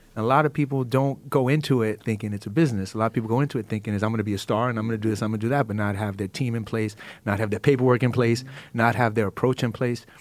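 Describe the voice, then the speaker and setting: On a very clean recording with a silent background, a man with a New York accent speaks very fast at a medium pitch, his intonation fairly even. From Brooklyn, New York. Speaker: entertainment manager. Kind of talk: panel discussion. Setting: studio.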